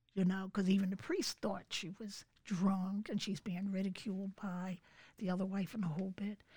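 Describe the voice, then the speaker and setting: With an American accent, a woman talks at a moderate pace in a medium pitch, her tone dark and mellow and somewhat breathy. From Philadelphia, US. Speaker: churchgoer sharing testimony. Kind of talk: testimony.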